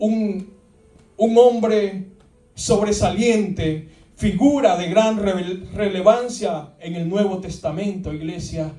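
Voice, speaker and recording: With music in the background and audible room echo, a man speaks at a very slow pace in a high voice with ordinary pitch variation and big swings in loudness. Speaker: pastor. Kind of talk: sermon. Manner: repetitive, halting.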